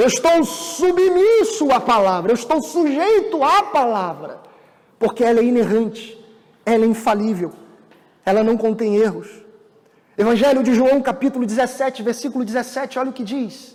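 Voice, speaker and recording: This man's voice sits at an extremely high pitch. He speaks at a moderate pace with lively intonation. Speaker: pastor. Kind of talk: sermon.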